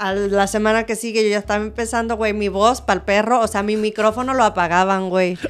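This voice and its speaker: A woman speaks in an animated tone at a fairly high pitch. She keeps a fairly quick pace with hardly any pauses. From Mexico. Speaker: dancer and musical theatre performer. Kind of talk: casual interview chat. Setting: relaxed studio recording in pyjamas. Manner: animated, laughing.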